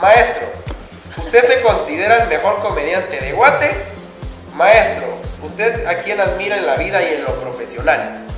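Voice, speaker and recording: Clear music plays in the background as a man speaks at a moderate pace with long, frequent pauses, his voice carrying audible room echo. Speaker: vlogger interviewer. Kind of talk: interview question. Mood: playful, joking. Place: studio. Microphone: camera far.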